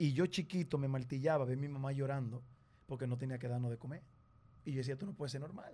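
A man with a Dominican accent talks very fast at a medium pitch, his somewhat breathy voice dark and mellow in tone. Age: 30s. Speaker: television presenter. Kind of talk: casual chat.

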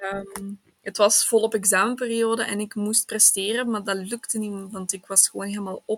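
A woman at medium pitch and moderate pace, with flat, monotone intonation, hardly any pauses, and a dry, close sound with no echo. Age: 20s. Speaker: sociology student. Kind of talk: personal testimony in interview.

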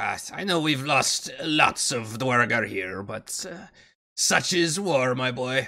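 In a raspy, put-on character voice, a man speaks at a very slow pace with a medium pitch. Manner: cold, matter-of-fact, condescending.

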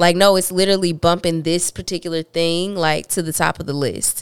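With a fairly low pitch and an ordinary speaking voice, a woman talks at a fairly quick pace in a dry, close recording with no echo. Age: 30s. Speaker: podcast co-host. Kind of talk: casual chat.

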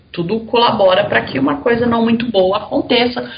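Noticeable background noise fills the clip. Through it, a woman speaks at a fairly high pitch. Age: 40s. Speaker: journalist and Crohn's patient. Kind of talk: casual interview about illness.

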